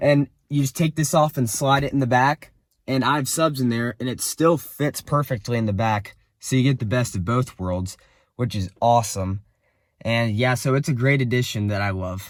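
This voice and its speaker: In a very clean recording with a silent background, a man speaks at a moderate pace in an unremarkable speaking voice, medium in pitch with ordinary pitch variation. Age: young. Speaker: car enthusiast vlogger. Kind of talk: casual review walkthrough. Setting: inside a car. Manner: casual, some stumbling.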